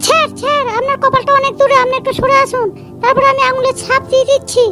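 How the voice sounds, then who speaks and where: In a squeaky, cartoonish character voice of extremely high pitch, a woman speaks at a fairly quick pace with very even loudness, while clear music plays in the background. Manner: loud, brash, rustic.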